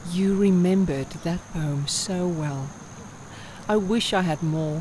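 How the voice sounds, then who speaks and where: Noticeable background noise sits behind the speech. The woman's pitch varies in an ordinary way. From South Africa. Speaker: voice artist. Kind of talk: poetry reading.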